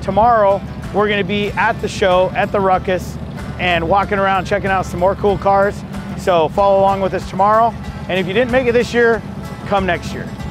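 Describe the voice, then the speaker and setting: Over clear background music, a high-pitched man talks at a fairly quick pace in a flat, monotone delivery, the sound dry with no echo. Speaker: event host. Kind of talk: casual vlog chat. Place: street.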